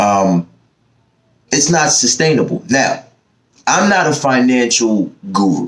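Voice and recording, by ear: With an American accent, a man talks slowly at a medium pitch, his fairly bright tone moving in big pitch swings.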